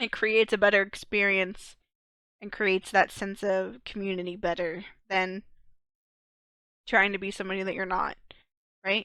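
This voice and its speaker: In a very clean recording with a silent background, a woman with a medium pitch and a bright, sharp tone speaks at a moderate pace in a monotone, flat intonation, with long, frequent pauses. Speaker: podcast co-host and streamer. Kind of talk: casual chat.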